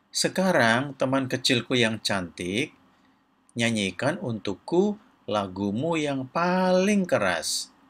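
Someone does a put-on character voice with a fairly bright tone, big pitch swings, and a slow pace. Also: man, medium pitch for a man.

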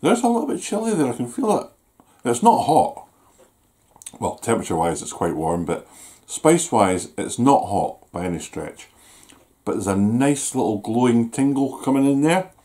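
Over a quiet background, a man with a Scottish accent speaks at a moderate pace and medium pitch, his dark, mellow tone moving through very wide pitch swings between long, frequent pauses. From Scotland. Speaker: YouTuber doing food reviews. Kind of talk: casual vlog review. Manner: chatty, hesitant with fillers. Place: home room. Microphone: camera far.

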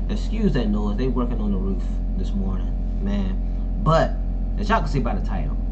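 Music plays in the background. A man talks at a very fast pace. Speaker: reaction creator. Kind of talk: casual vlog chat. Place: home room.

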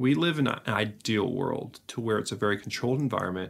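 A man with vocal fry talks at a fairly quick pace with ordinary pitch variation. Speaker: vlogger. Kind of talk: reflective podcast-style vlog talk. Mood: reflective, earnest. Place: home room.

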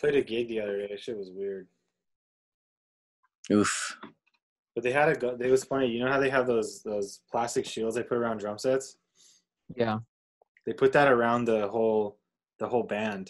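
Against a quiet background, a man speaks at a moderate pace with fairly even intonation and long, frequent pauses. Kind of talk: casual chat. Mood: amused, laughing storytelling. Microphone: video call.

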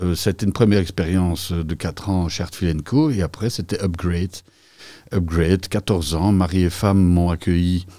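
A man with a very deep, low voice speaks at a moderate pace in a monotone, flat intonation over a quiet background. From Belgium, Mons-Borinage (Hainaut); Hainaut, Belgium. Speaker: entrepreneur; podcast guest. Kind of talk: interview. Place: studio. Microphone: studio mic.

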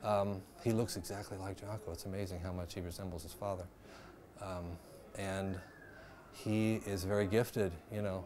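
With noticeable background noise behind him, a man talks at a moderate pace in a fairly low, monotone voice with flat intonation and long, frequent pauses. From US Midwest (Dayton, Ohio); Ohio. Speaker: jazz bass player; interviewee. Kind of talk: interview. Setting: filmed interview. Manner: halting, many repetitions. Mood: calm, reflective. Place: bar. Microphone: lapel.

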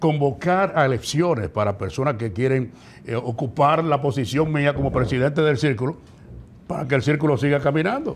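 A man at a moderate pace, with a fairly high pitch, ordinary pitch variation, and light background noise. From Dominican Republic, La Vega; Dominican Republic. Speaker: professional radio announcer. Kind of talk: casual interview. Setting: studio. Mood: critical, indignant at times. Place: studio. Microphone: lapel.

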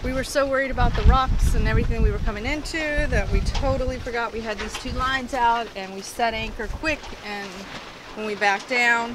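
A woman at a fairly quick pace, dry with no echo, amid noticeable background noise. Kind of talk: casual vlog chat. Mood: relieved, lightly rueful. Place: boat.

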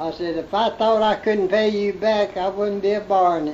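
Against noticeable background noise, a man with a Southern US accent speaks at a high pitch with fairly even intonation. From Central Alabama. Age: 80s+. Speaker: farmer. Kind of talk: interview answer.

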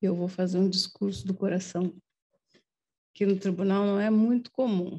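Somewhat breathy and very even in loudness, a woman speaks at medium pitch with a dark, mellow tone. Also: fairly even intonation, moderate pace, quiet background. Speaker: judge. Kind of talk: ceremonial tribute speech. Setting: courtroom ceremony with audience. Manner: emotional, improvised. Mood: warm, heartfelt. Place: hall. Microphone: podium.

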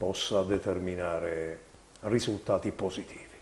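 A man speaks in a monotone, flat way. There is light background noise. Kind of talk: televised political address. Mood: firm, critical. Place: office. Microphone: lapel.

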